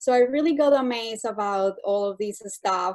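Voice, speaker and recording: Speaking at a moderate pace over a quiet background, a woman with a Colombian accent uses a fairly high pitch and lively intonation. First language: Spanish. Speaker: master's student. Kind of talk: thesis defense, interview answer.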